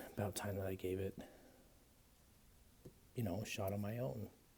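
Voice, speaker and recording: This man's voice is somewhat breathy, dark and mellow, set at a fairly low pitch with ordinary pitch variation and long, frequent pauses. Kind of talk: casual ASMR talk to camera, whispered page-flipping. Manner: soft-spoken, whispering.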